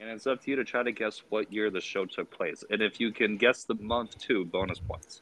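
In an ordinary speaking voice with an American accent, a man talks at a fairly quick pace and medium pitch, with fairly even intonation and hardly any pauses. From Springfield, Massachusetts. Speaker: wrestling fan podcast guest. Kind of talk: casual chat.

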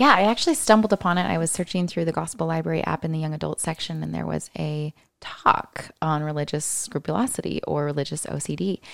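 A woman with an American accent, at a very fast pace with hardly any pauses. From US Pacific Northwest, Seattle area. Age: 20s. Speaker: single mother sharing faith experience. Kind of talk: casual chat.

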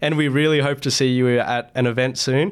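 Here a man speaks in an Australian accent. His pitch is fairly high and his intonation fairly even. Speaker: club academic coordinator, student. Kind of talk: casual interview.

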